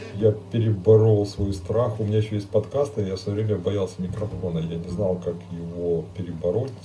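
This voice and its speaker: A man with a fairly low pitch talks at a moderate pace with fairly even intonation and hardly any pauses. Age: 50s. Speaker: priest. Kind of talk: live stream Q&A. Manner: halting.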